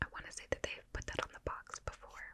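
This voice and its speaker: A woman whispers at a very fast pace over noticeable background noise. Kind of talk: ASMR rambling. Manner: whispered; soft-spoken.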